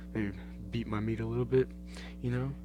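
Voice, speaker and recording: A somewhat breathy male voice with an American accent and very wide pitch swings. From Australia. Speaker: podcaster. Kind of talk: casual monologue. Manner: animated.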